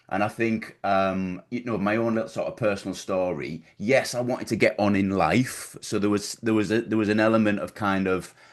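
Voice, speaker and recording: A man talks at a fairly low pitch in a Teesside accent. He barely pauses, and the background is quiet. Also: fairly even intonation, fairly quick pace. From northern England, Middlesbrough. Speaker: business coach. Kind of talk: podcast interview. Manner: halting, many repetitions.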